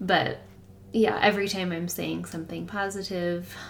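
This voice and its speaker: A woman talks fairly slowly with a slight Michigan accent, and noticeable background noise runs behind her. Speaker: host's wife. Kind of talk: casual chat.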